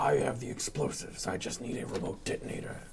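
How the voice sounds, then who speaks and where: A man does a put-on character voice at a medium pitch. He speaks very fast over clear background noise. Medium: actual play. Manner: terse, dry.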